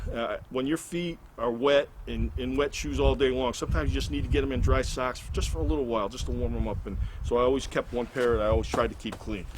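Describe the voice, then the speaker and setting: Noticeable background noise sits behind the voice. A man talks at a very fast pace. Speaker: hiker vlogger. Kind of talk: gear tutorial. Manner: casual, halting with fillers.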